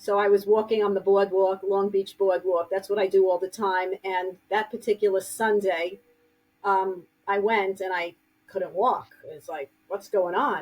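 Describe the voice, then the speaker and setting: A woman with a New York accent at medium pitch, flat monotone intonation and a fairly slow pace. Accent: heavy New York. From New York City (Brooklyn, Queens). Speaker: grief counselor and author. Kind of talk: interview podcast.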